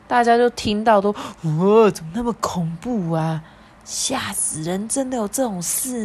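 This is someone reading aloud. It is delivered in a natural voice.

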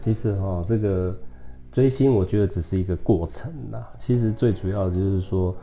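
Speaking at a fairly quick pace with lively intonation, a man uses a very deep, low voice that is somewhat breathy. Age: 40s. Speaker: spiritual hall leader and entrepreneur. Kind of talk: casual interview.

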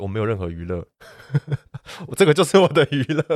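The sound is dry and close, with no echo, on a very clean recording with a silent background. A man is the speaker. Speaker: mountain photographer. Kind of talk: casual interview.

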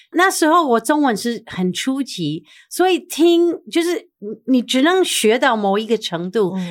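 Recorded very cleanly against a silent background, a woman with a high pitch and an English accent talks at a fairly slow pace with very wide pitch swings. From US, New York. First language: English (speaking Chinese). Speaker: TV personality. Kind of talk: interview.

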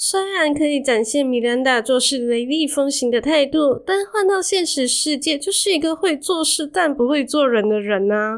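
Speaking at a moderate pace with hardly any pauses, a woman with a high pitch uses lively intonation and very even loudness. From Malaysia. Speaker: podcast host. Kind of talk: solo podcast monologue.

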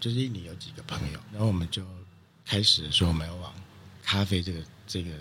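A man speaks at a very fast pace. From Taiwan, Taichung. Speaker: coffee producer and importer. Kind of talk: interview. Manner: halting, many fillers.

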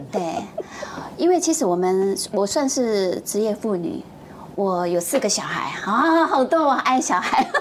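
A fairly slow pace and very wide pitch swings against noticeable background noise. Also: woman, fairly high pitch for a woman. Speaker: TV producer. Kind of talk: casual chat. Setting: studio.

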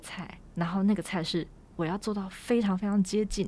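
With a Taiwanese accent, a woman speaks in a dark, mellow tone at a medium pitch. Her pace is moderate and her pitch variation ordinary. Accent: Taiwanese Mandarin. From Taiwan, Taipei (Wugu/Luzhou area). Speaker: writer and designer. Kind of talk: interview conversation. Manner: halting.

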